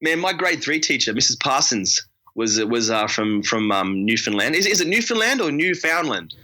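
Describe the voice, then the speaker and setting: A man with a fairly high pitch talks at a moderate pace, his pitch swinging very widely. His tone is bright and sharp with vocal fry, and his loudness stays very even. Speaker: podcast guest. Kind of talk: casual chat.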